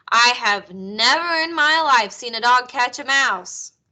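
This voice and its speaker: A woman speaks in a put-on character voice, pitched high, with lively intonation. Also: fairly slow pace. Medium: read story.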